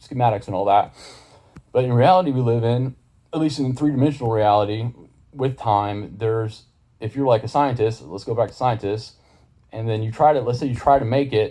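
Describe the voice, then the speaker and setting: Mumbling at a fairly quick pace, a man talks in a medium pitch with a dark, mellow tone and ordinary pitch variation. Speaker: YouTuber explaining ideas. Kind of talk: casual monologue to camera. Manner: fast; mumbling at points.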